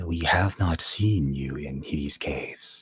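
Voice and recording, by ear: A man does a booming put-on character voice, very deep and low, at a fairly slow pace.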